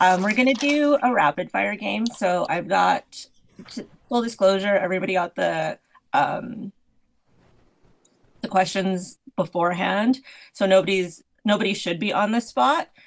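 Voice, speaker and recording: A woman speaks fairly slowly at a medium pitch, with vocal fry and lively intonation. Her speech has long, frequent pauses. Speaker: podcast co-host leading games. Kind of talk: casual chat. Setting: online call.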